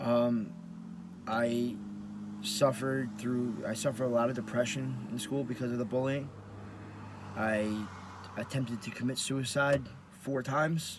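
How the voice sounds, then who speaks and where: A man at a medium pitch and a fairly slow pace, with long, frequent pauses, fairly even intonation and audible room echo. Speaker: professional wrestler and vlogger. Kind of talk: personal testimony vlog. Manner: halting, with repetitions.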